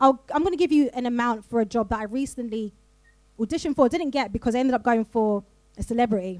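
The speaker has a South London accent. The delivery is very fast. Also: woman, high pitch for a woman, ordinary pitch variation. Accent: South London, drops T's. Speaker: voiceover artist. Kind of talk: live panel discussion. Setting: stage with audience.

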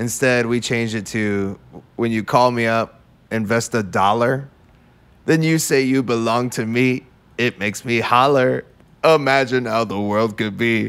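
A man's unremarkable speaking voice at medium pitch, fairly slow in pace, with fairly even intonation. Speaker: musician in a polka band. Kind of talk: casual chat. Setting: studio.

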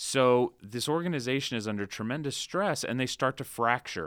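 A man with an American accent talks at a moderate pace, using lively intonation. He has a plain, everyday voice, on a very clean recording with a silent background. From Central Florida. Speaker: political science professor. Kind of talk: interview.

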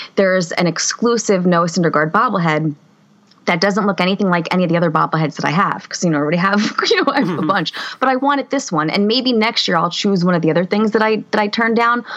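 A woman with an American accent talks at a very fast pace at a very even loudness. Noticeable background noise can be heard. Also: medium pitch for a woman, lively intonation. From Harrison, New Jersey. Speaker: podcast co-host, teacher. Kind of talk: casual chat. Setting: video call.

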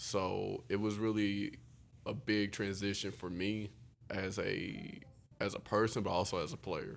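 A man with an American accent speaks at a fairly low pitch and a fairly slow pace. It is a plain, everyday voice with fairly even intonation. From Houston, Texas. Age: 20s. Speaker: college basketball player. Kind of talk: casual chat.

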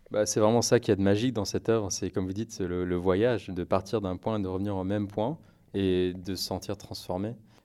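A fairly low, dark, mellow male voice at a fairly quick pace, with fairly even intonation. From France, Paris. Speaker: jazz pianist. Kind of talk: interview.

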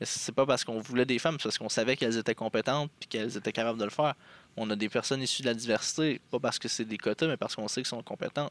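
Words come at a very fast pace with fairly even intonation, in a dry, close sound with no echo on a very clean recording with a silent background. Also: man. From Quebec, Abitibi. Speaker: political party member. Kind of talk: interview. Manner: halting.

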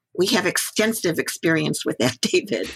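This woman speaks at a medium pitch. Vocal fry runs through her voice. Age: 60s. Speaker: Buddhist teacher and community activist. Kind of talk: interview conversation.

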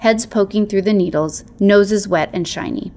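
An unforced reading voice with intonation kept fairly even

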